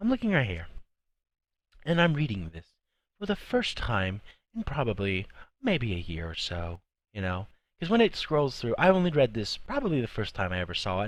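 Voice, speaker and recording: Strained and at medium pitch, a man speaks at a moderate pace with very wide pitch swings and long, frequent pauses, in a very clean recording with a silent background. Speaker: YouTuber, film commentator. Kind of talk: casual vlog commentary. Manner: odd strained tone.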